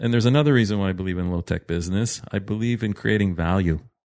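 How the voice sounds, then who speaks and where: A man's fairly low, plain, everyday voice with a Canadian accent and ordinary pitch variation, dry and close with no echo, over a quiet background. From Canada (Toronto). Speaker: entrepreneur. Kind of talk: interview.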